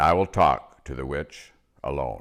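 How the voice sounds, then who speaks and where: A man growls in a put-on character voice. He talks at a moderate pace. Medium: read story. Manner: calm, authoritative.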